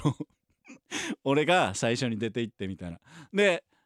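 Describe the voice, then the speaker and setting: A man speaks in a Kansai accent at a moderate pace, his pitch swinging very widely. The sound is dry and close, with no echo. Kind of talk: casual chat.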